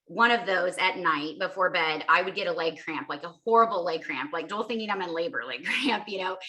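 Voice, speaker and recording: A woman's fairly quick, medium-pitched speech with lively intonation against noticeable background noise. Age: 40s. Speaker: mother sharing health story. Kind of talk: testimony.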